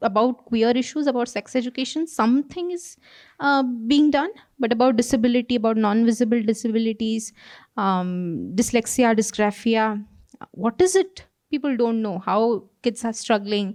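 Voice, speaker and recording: Against a quiet background, a woman with a fairly high pitch talks at a moderate pace, her pitch varying in an ordinary way. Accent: Odisha. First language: Odia. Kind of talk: panel conversation. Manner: hesitant, many fillers.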